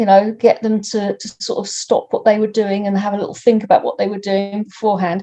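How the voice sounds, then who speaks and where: A woman's medium-pitched voice, somewhat breathy, with a dark, mellow tone. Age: 60s. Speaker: environmental activist. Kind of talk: personal account interview. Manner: halting, with many repeated words.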